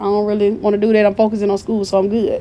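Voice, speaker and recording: A woman speaks in an animated tone with a Southern US accent. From US South, Mobile, Alabama. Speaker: entrepreneur. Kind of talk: casual chat.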